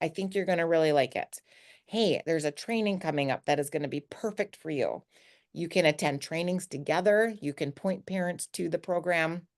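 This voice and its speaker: A woman at a fairly quick pace, fairly low in pitch with ordinary pitch variation, in a dry, close sound with no echo and a quiet background. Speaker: teacher of the deaf, online trainer. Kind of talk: screen-share product tour.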